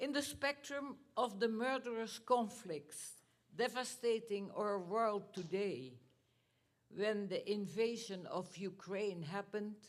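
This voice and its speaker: In a Dutch accent, the speech unfolds at a very slow pace with ordinary pitch variation. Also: woman, fairly high pitch for a woman. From Netherlands. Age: 90s. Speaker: Holocaust survivor. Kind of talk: talk to students. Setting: school theater with audience.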